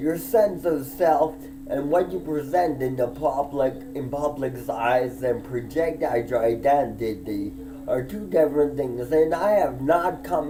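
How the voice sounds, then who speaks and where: Fairly slow speech with ordinary pitch variation, audible room echo and music in the background. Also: man. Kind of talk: personal monologue vlog. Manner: emphatic, heated.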